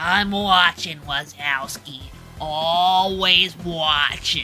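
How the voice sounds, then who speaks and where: This is a put-on character voice at a middle pitch, delivered at a very slow pace. Clear background noise runs underneath. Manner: slow, menacing.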